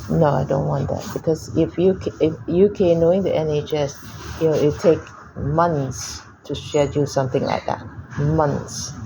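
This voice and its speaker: A woman's very deep, low voice with ordinary pitch variation, against noticeable background noise. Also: moderate pace. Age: 60s. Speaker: cancer patient. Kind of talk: doctor consultation.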